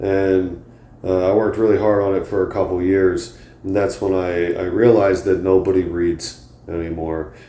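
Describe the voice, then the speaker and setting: In a very deep, low voice with a dark, mellow tone, a man speaks in a flat monotone at a moderate pace, with audible room echo. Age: 30s. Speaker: comedian and podcast host. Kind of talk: casual monologue. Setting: home, on a couch. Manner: halting, many fillers.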